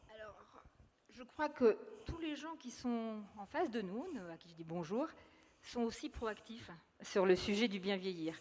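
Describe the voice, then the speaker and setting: Pausing long and often, a woman speaks at a fairly slow pace with very wide pitch swings. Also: fairly high pitch for a woman, big swings in loudness. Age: 60s. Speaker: local elected official. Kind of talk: panel discussion. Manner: halting.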